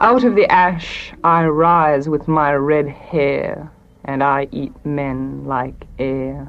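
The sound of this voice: A woman speaks slowly, her pitch low for a woman. Faint music plays in the background. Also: fairly even intonation.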